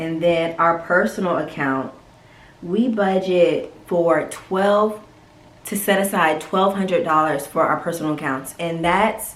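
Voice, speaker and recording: Speaking at a fairly slow pace, a woman with a fairly low pitch has an unremarkable speaking voice and ordinary pitch variation. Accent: American. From North Carolina. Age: 20s. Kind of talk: casual talk to camera.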